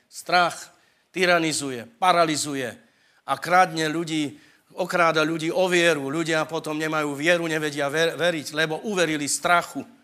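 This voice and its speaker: A man's bright, sharp tone at a moderate pace with fairly even intonation, on a very clean recording with a silent background. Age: 60s. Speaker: preacher. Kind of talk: sermon.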